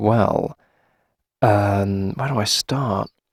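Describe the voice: At a very slow pace, a put-on character voice with vocal fry and a slightly husky edge shows ordinary pitch variation, the sound dry and close with no echo on a very clean recording against a silent background. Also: man, fairly low pitch for a man.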